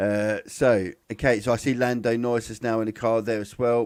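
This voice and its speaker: A man's medium-pitched voice in a British accent, with fairly even intonation, on a very clean recording with a silent background. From England, Cambridge. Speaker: F1 live stream host. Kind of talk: live commentary. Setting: live stream from home setup. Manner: halting, many fillers and restarts.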